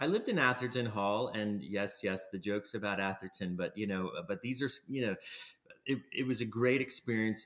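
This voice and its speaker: A man with an American accent, an unremarkable speaking voice of fairly low pitch, moderate pace and ordinary pitch variation, on a very clean recording with a silent background. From Pennsylvania. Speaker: transplant physician. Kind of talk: interview.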